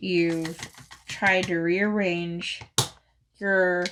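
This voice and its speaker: Speaking very slowly in a monotone, flat way, a woman with an American accent uses a fairly low pitch. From Phoenix, Arizona, US. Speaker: crafting YouTuber. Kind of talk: casual chat. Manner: hesitant, filler-heavy.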